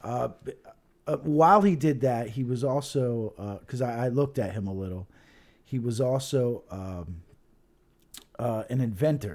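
This man talks at a moderate pace and medium pitch, with lively intonation and long, frequent pauses. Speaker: co-host. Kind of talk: casual banter. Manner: joking, profane.

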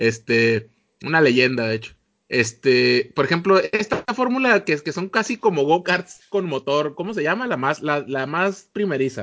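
With a Mexican accent, a man speaks fairly slowly at a fairly high pitch, his voice moving through very wide pitch swings. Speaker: podcast host. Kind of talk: casual chat.

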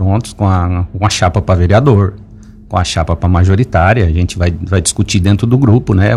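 A man speaks in a somewhat breathy voice. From Lauro Müller, Santa Catarina, southern Brazil. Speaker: businessman and local party president. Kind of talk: radio interview. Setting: radio studio. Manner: hesitant, many fillers and repetitions.

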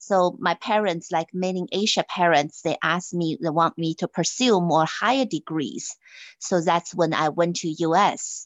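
Her voice is fairly low in pitch, with ordinary pitch variation. The woman is heard over a quiet background. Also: fairly slow pace. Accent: Chinese. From China. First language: Chinese. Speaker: finance executive. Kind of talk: interview.

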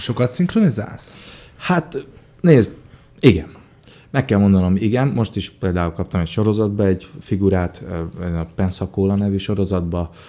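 A man talks slowly, with a dark, mellow tone and a fairly low pitch. He leaves long, frequent pauses. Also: ordinary pitch variation. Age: 30s. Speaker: actor and voice dubbing artist. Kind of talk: interview.

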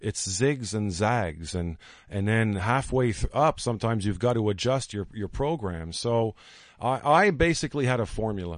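Against a quiet background, a man with an unremarkable speaking voice talks at a moderate pace. His pitch is medium, and his intonation is lively. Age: 40s. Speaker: storyteller and marketing entrepreneur. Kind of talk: radio interview. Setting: studio.

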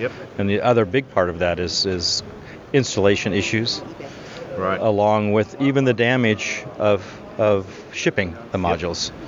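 Amid noticeable background noise, a man talks at a moderate pace with a fairly low pitch and ordinary pitch variation. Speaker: solar panel recycling businessman. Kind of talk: interview.

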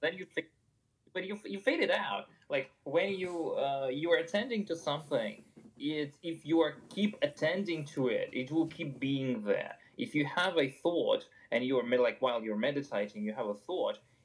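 Speaking with a non-native accent, this man uses a fairly high pitch. His intonation is lively and his pace moderate. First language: not English. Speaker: podcast co-host, evolutionary biologist. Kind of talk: casual chat. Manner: halting.

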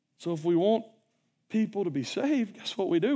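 At a moderate pace, a man talks with a slight Southern US accent on a very clean recording with a silent background. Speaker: preacher. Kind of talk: sermon. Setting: church. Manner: casual, conversational.

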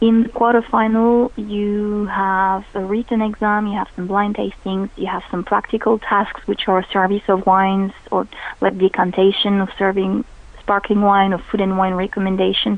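In a French accent, a woman speaks at a moderate pace with medium pitch and monotone, flat intonation. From France. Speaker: sommelier. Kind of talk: radio interview. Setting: phone call.

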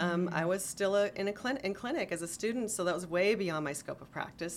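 A woman with a plain, everyday voice talks at a fairly quick pace. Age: 50s. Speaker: clinical herbalist. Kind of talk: casual interview.

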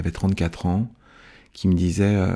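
In a very clean recording with a silent background, a man with a very deep, low pitch and a dark, mellow tone speaks at a moderate pace in a monotone, flat way. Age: 50s. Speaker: events and live performance worker sharing life story. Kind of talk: personal testimony. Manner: halting, with frequent hesitations.

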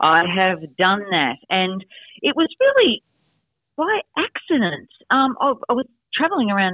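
At a moderate pace, a woman in an Australian accent speaks with lively intonation. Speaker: negotiation expert and author. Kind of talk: interview.

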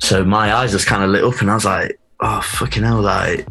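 With music in the background and audible room echo, a man with an East Midlands accent and fairly low pitch talks at a fairly quick pace with fairly even intonation. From Nottingham, England. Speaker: DJ and record label founder. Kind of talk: casual interview.

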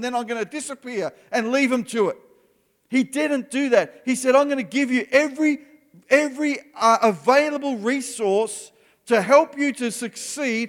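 Speaking at a moderate pace with an Australian accent, a man uses an extremely high pitch with ordinary pitch variation. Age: 50s. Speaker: pastor. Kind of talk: sermon.

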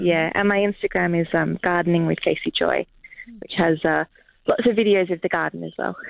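Speaking fairly quickly, a woman has an Australian accent. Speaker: author and garden coach. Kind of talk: radio interview. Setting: remote line into radio studio.

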